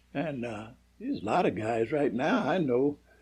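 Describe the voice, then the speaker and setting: This man has a fairly high pitch, a somewhat breathy sound and lively intonation, speaking with an American accent. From US Northeast, Philadelphia. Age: 90s. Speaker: war veteran. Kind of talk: casual interview. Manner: halting.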